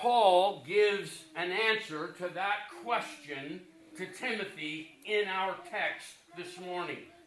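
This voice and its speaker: A high-voiced man speaks very slowly with ordinary pitch variation, amid noticeable background noise and audible room echo. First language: English (speaking German). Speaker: preacher. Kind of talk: sermon.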